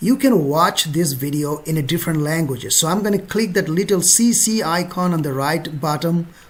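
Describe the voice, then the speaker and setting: The speaker has a Bengali accent and keeps a moderate pace with hardly any pauses. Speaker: travel vlogger. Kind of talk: tutorial. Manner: casual, conversational.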